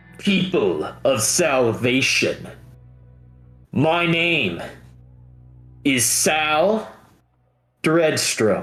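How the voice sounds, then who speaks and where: A put-on character voice at a very slow pace, with long, frequent pauses and faint music in the background. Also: man, fairly high pitch for a man. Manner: commanding, proclaiming.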